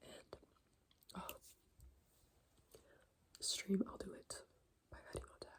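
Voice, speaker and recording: Soft-spoken, a woman talks at a fairly slow pace. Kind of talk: soft-spoken ASMR catch-up talk.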